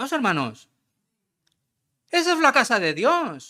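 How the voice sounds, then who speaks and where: A man's raised, projected voice at a fairly slow pace, in a very clean recording with a silent background. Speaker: visiting pastor. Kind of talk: sermon. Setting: church. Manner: conversational, addresses congregation directly.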